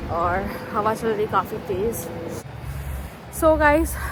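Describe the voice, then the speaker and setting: Noticeable background noise sits under a woman talking at a fairly slow pace. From India, Delhi. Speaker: vlogger. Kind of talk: casual vlog. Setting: outdoors.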